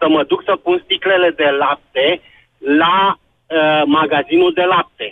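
A man at a fairly slow pace, very even in loudness, with long, frequent pauses. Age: 50s. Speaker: caller. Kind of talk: call-in radio talk. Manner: halting.

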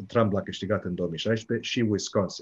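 A man speaks at a moderate pace in a fairly low, somewhat breathy voice with ordinary pitch variation. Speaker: political science professor. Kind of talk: radio interview. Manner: hesitant, many fillers.

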